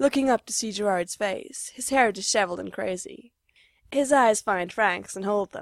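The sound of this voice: Against a quiet background, someone reads in an unforced reading voice.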